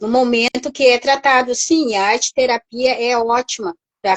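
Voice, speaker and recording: Very slowly, a woman speaks in a high voice. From southern Brazil, Rio Grande do Sul. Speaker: art therapist. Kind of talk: live stream conversation. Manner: halting.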